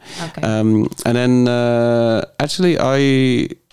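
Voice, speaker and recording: There is noticeable background noise behind this man. He speaks at a medium pitch with fairly even intonation. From southern England. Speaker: performance artist. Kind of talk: casual chat. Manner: halting.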